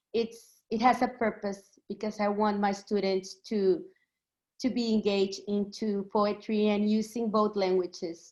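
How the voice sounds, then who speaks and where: With a Mexican accent, a woman speaks at a fairly slow pace, holding a medium pitch and fairly even intonation. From Mexico, Texas border region. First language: Spanish. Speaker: poet and pre-K bilingual teacher. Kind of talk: poetry reading introduction. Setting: video call. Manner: halting, many fillers.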